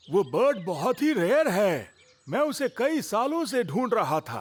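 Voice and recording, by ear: A man in a cartoonish character voice, high-pitched with big pitch swings, at a fairly slow pace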